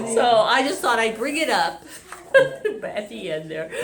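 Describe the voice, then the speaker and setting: Noticeable background noise runs through the clip. Audible room echo can be heard as well. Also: woman. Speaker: minister. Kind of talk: sermon. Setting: hotel event space, also streamed online. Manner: stumbling over words; loud.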